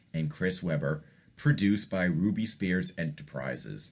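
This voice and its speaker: With a very deep, low pitch and vocal fry, a man speaks in a relaxed tone at a moderate pace with ordinary pitch variation. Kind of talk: casual talk to camera. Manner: relaxed, conversational.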